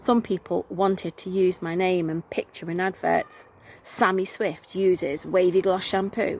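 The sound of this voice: This is an unforced reading voice. Nothing else is heard.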